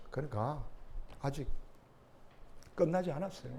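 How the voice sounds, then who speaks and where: A man speaks with a Jeolla accent and lively intonation. His voice is somewhat breathy, with audible room echo. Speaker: pastor. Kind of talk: sermon. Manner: conversational, many interjections.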